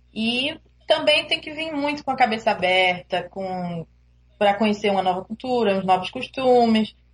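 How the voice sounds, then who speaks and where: With lively intonation, a woman talks at a moderate pace in a fairly high, somewhat breathy voice. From Brazil, Recife (Pernambuco). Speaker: international student. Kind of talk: interview.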